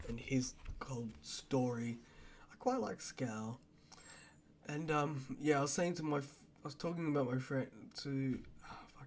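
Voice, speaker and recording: A soft-spoken man with long, frequent pauses and big swings in loudness. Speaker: book reviewer. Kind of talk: casual book review vlog. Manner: halting.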